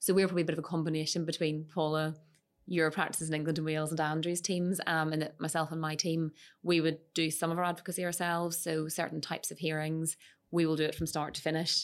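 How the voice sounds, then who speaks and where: In a Northern Irish accent, a woman talks at a very fast pace with a very deep, low pitch. Her intonation is monotone and flat, and the recording is very clean with a silent background. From Northern Ireland, Moira and Lisburn. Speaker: lawyer. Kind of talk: casual professional discussion. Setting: studio.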